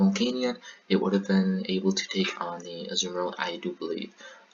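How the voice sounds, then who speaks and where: Noticeable background noise runs under the audio. A man is speaking. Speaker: gaming commentator. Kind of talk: live commentary on recorded game battles. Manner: casual, with frequent fillers.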